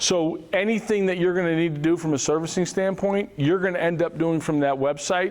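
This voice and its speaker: This is a man speaking at a fairly quick pace. His pitch varies in an ordinary way. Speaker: financial advisor. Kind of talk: seminar presentation. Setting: room with live audience. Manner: fast.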